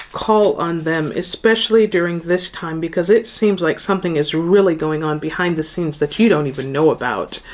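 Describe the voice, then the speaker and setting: Her pace is fairly quick. The woman's pitch is fairly low, with ordinary variation. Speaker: tarot reader. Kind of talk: tarot reading to viewers. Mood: warm, light laughter. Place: home room.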